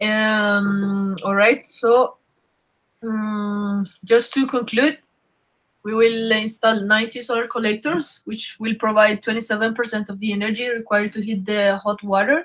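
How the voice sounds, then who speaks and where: Speaking fairly slowly with a Spanish accent, a woman uses a fairly high pitch and fairly even intonation. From Colombia. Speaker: engineer presenting a solar project. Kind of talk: webinar presentation. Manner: halting with fillers.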